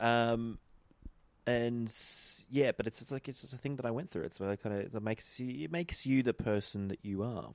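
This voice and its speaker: A man with an Australian accent at medium pitch, a fairly quick pace and ordinary pitch variation, in a dry, close sound with no echo. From Australia, Eden, far south coast of New South Wales. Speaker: podcast guest. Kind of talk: casual chat.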